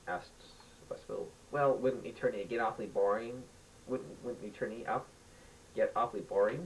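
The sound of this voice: An unforced reading voice carries the recording.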